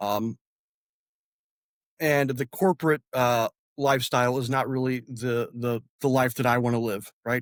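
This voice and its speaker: With a Midwestern American accent, a man speaks at a fairly slow pace with fairly even intonation and long, frequent pauses, in a dry, close sound with no echo. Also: medium pitch for a man. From northern Indiana, LaPorte County. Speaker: congressional candidate and army veteran. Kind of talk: interview. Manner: halting, many fillers.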